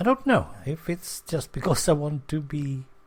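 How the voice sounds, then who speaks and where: A man talks at a fairly slow pace in a somewhat breathy voice, his pitch swinging very widely. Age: 60s. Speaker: podcaster. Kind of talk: casual monologue.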